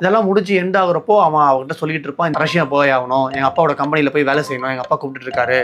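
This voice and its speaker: Noticeable background noise sits behind a man's fairly high-pitched voice. He uses ordinary pitch variation. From Chennai, India. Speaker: film reviewer, YouTuber. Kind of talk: movie review narration, casual talk to camera.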